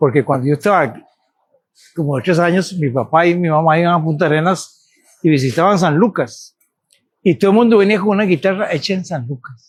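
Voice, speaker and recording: His pitch high, a man talks at a fairly quick pace. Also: ordinary pitch variation. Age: 80s+. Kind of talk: casual chat.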